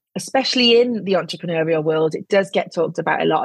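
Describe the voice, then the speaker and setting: A woman speaks at a very fast pace, somewhat breathy. The sound is dry and close with no echo. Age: 40s. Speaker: business strategist and marketing mentor. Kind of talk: casual interview chat.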